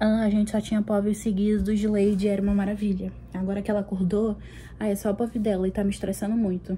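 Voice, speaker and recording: Very fast and monotone, the voice has a dark, mellow tone, a somewhat breathy quality and very even loudness. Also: woman, medium pitch for a woman. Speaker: book vlogger. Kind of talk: casual vlog.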